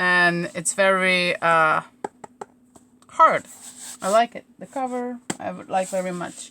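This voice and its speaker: Bright and sharp in tone, a woman speaks with a Slovene accent and medium pitch. Her pace is very slow, with big swings in loudness. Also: ordinary pitch variation. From Slovenia. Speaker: crafter / craft YouTuber. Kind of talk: live stream crafting chat. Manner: casual, hesitant.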